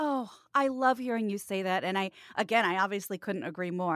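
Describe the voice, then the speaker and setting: A woman with an ordinary speaking voice and a medium pitch talks at a fairly quick pace with lively intonation. The recording is very clean, with a silent background and a dry, close sound with no echo. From Kansas, US Midwest. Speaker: voiceover artist and podcast co-host. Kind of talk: casual chat.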